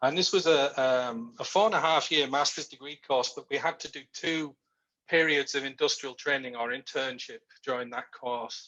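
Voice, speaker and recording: A man's fairly high voice with a bright, sharp tone, a moderate pace, ordinary pitch variation and big swings in loudness. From Yorkshire, northern England. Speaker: research manager. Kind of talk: interview on a video call.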